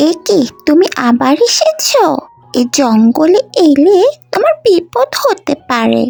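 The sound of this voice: This cartoonish character voice has very wide pitch swings, vocal fry and a slightly mellow tone. It moves at a slow pace over faint music in the background.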